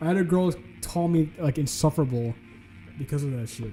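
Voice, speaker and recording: A man with a fairly high voice speaks over music playing in the background. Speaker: streamer. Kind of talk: casual chat.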